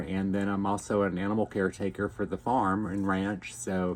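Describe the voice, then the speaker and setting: A man's fairly low voice with an American accent, relaxed in tone, at a moderate pace. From Texas. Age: 50s. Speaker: YouTuber, chef and ranch animal caretaker. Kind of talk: casual vlog talk to camera. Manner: relaxed, many fillers (um, uh).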